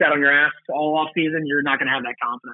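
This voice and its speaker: A very fast pace marks this man's speech. His pitch is fairly high. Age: 30s. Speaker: professional lacrosse player. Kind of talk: interview. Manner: casual, with many fillers.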